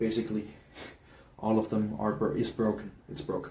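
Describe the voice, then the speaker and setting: Speaking with a Danish accent, a man's fairly low voice carries audible room echo. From Denmark. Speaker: hobbyist YouTuber. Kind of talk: casual tutorial. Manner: halting, many fillers.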